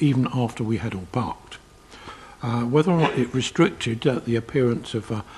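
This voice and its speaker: Speaking at a fairly quick pace, this voice has a South East London accent. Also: man. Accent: South East London accent, audible. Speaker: committee chair, local councillor. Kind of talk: council committee meeting.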